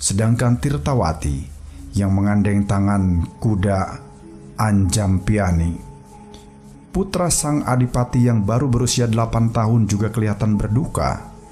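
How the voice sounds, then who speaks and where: Music plays in the background as a man with a fairly low voice speaks with lively intonation and very even loudness. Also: fairly slow pace. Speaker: audiobook narrator. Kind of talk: historical story narration.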